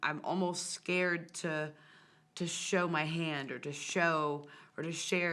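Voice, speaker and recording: Audible room echo surrounds the speaker. She is a woman with a fairly low pitch. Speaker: music show host and singer. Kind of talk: casual interview conversation. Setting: TV studio. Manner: loud.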